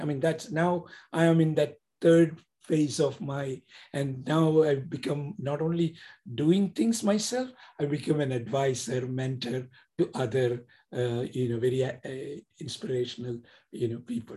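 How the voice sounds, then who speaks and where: A man speaks fairly slowly with an Indian accent and a fairly high pitch. His voice is somewhat breathy, with a dark, mellow tone. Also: ordinary pitch variation. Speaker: author and entrepreneur. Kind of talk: casual interview. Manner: halting, repeats words.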